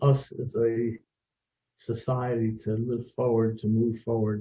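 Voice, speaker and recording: Somewhat breathy delivery at a fairly slow pace. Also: man. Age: 80s+. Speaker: music producer. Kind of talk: interview.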